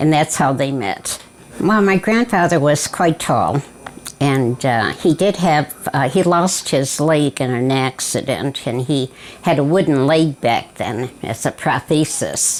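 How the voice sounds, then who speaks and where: Over noticeable background noise, a woman with an American accent speaks at a very deep, low pitch and a fairly slow pace, her intonation lively. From US Midwest, southwest Detroit, Michigan. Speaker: family elder interviewee. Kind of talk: oral history interview. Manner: halting, many fillers.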